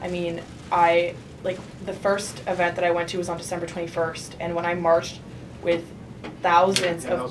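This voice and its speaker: Flat, monotone delivery at a moderate pace. Noticeable background noise and audible room echo are present. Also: woman, fairly low pitch for a woman. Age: 20s. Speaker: student activist. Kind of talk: panel talk. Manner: hesitant, many fillers.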